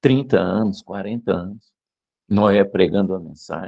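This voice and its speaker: Fairly low in pitch, this man's voice has a dark, mellow tone. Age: 60s. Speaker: preacher. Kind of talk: sermon.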